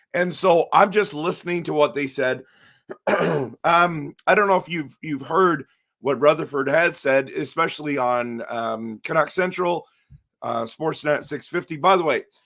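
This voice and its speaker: Ordinary pitch variation runs through a bright, sharp tone. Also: man, fairly high pitch for a man, fairly slow pace. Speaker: hockey YouTuber. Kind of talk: casual commentary livestream.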